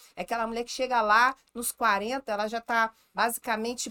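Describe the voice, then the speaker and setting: Talking at a fairly quick pace, a woman sounds animated, her tone bright and sharp, on a very clean recording with a silent background and a dry, close sound without echo. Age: 40s. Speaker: gynecologist. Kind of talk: casual chat.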